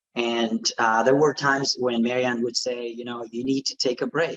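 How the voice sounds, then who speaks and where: Dry and close with no echo, a man's voice runs at a fairly quick pace in a monotone, flat delivery. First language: not English. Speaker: art education scholar. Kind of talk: panel discussion. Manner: halting, many fillers.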